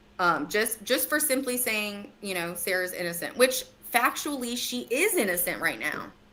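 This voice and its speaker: Pitched fairly high, a woman's voice moves through very wide pitch swings against noticeable background noise. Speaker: true crime commentator. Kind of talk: casual chat. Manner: fast.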